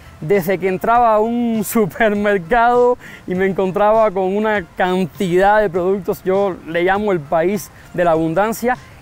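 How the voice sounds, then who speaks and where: A man with a Cuban accent speaks at a fairly slow pace in a high voice, with ordinary pitch variation and very even loudness. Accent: marked Cuban accent, slowed in Mexico. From Cuba, San Antonio de los Baños area. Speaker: Cuban immigrant interviewee. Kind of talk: interview. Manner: speaks slower than typical Cuban speech.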